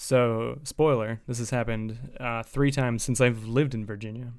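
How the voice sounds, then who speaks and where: A man speaks at a moderate pace with fairly even intonation. His pitch is medium. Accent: American. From US Midwest. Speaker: podcast co-host. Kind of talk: casual banter, comedy podcast. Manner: mumbling, doesn't project.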